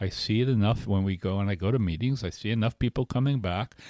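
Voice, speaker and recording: In a very clean recording with a silent background, a man talks at a medium pitch with ordinary pitch variation. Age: 60s. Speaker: podcast co-host in recovery. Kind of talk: casual chat. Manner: halting.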